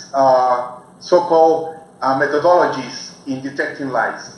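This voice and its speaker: With a Spanish accent and a fairly high pitch, a man speaks amid noticeable background noise and audible room echo. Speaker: researcher and co-author. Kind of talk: lecture. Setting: video call. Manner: halting.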